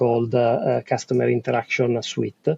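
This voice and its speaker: A man talks at a moderate pace in an Italian accent. His voice is somewhat breathy. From Italy. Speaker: telecom business executive. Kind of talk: interview. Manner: hesitant, many fillers.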